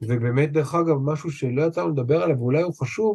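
This man's voice sits fairly high for a man, somewhat breathy, with lively intonation. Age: 50s. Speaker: trauma therapist. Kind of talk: interview conversation.

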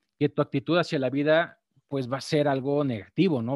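A man is heard in a very clean recording with a silent background. The sound is dry and close, with no echo. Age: 40s. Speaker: trading podcast host. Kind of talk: live-streamed talk on trading psychology. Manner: halting, many fillers and repetitions.

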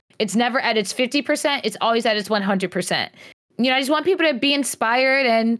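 Animated in tone, a woman with an American accent talks at a fairly quick pace and a fairly high pitch on a very clean recording with a silent background. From New York and North Carolina. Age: 20s. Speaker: content creator and cosplayer. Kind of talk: podcast interview.

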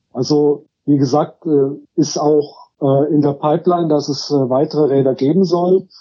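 At a fairly slow pace, a man speaks with fairly even intonation and very even loudness. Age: 50s. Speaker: social worker and cargo bike project co-founder. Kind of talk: interview. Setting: phone call. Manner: hesitant, many filler sounds.

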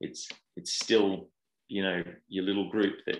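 Against a quiet background, a man with an Australian accent speaks at a moderate pace, fairly low in pitch, with monotone, flat intonation. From Australia, Perth. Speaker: football goalkeeping coach. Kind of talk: interview.

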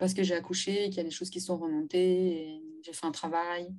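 A woman at medium pitch has a normal speaking voice. She talks at a moderate pace with fairly even intonation. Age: 30s. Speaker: domestic violence survivor and feminist activist. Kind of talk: testimony.

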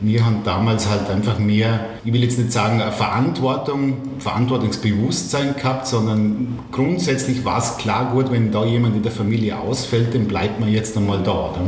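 The speech moves at a moderate pace with fairly even intonation and very even loudness. Room echo is audible, and background noise is noticeable. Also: man, medium pitch for a man. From Austria, Vorarlberg (Bregenzerwald, Mellau). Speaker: hairdresser and learning-app founder. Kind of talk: interview. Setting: on location at guest's place. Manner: halting.

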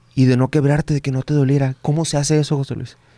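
A man's very fast, monotone, flat delivery, fairly high in pitch and dark, mellow in tone, on a very clean recording with a silent background and a dry, close sound with no echo. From Baja California Sur, Mexico. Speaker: podcast host. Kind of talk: casual interview chat. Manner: halting, with many repetitions.

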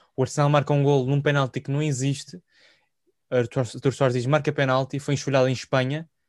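A man with a fairly high pitch talks at a fairly quick pace in a monotone, flat intonation. The sound is dry and close with no echo, over a quiet background. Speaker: football podcast host. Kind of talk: casual chat.

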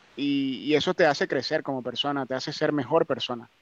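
A man with a Venezuelan accent and a fairly high pitch, recorded dry and close with no echo. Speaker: migrant. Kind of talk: casual chat.

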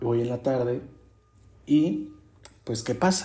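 Lively intonation and an animated tone mark a man speaking at a fairly slow pace, with audible room echo. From Mexico City. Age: 20s. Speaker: podcaster. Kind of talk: casual monologue.

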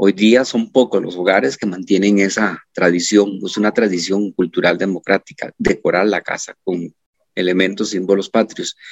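A man with a fairly low pitch talks in an ordinary speaking voice, keeping a moderate speed and fairly even intonation. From Costa Rica, Turrialba. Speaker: high school teacher. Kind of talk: interview.

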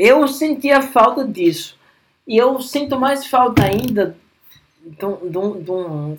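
The man's intonation is lively. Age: 30s. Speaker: podcast host. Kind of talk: casual chat.

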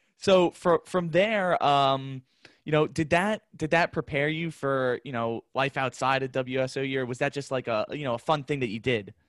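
A man with an ordinary speaking voice, fairly high pitch and ordinary pitch variation at a moderate pace, in a very clean, dry, close recording with no echo and a silent background. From Long Island, New York. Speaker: podcast host and student radio station manager. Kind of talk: casual interview.

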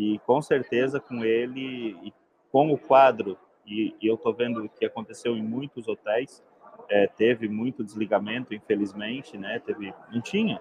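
Fairly slow, fairly even speech from a man at a medium pitch. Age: 40s. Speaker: software company host. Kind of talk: live stream interview. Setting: trade fair stand.

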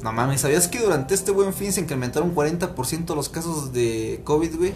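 Music in the background behind a man talking at a fairly quick pace with ordinary pitch variation. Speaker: podcast host. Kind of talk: casual chat.

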